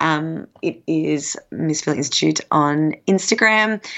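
A woman with an Australian accent speaks with lively intonation. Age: 30s. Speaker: professional pole dancer and coach. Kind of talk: casual interview.

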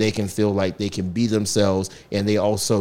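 This man talks at a fairly quick pace with an American accent, his pitch very deep and low. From US South, southeastern North Carolina. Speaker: school principal. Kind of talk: interview conversation.

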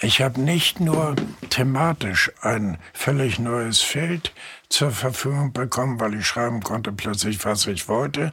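A man's voice at a medium pitch, with ordinary pitch variation and a very slow pace. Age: 80s+. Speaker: journalist and novelist. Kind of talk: interview conversation.

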